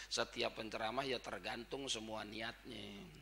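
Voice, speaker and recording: A bright, sharp tone with fairly even intonation at a moderate pace. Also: man. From Jakarta, Tanah Abang (Betawi). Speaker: Islamic preacher. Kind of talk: religious lecture (sermon). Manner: informal, blunt street speech.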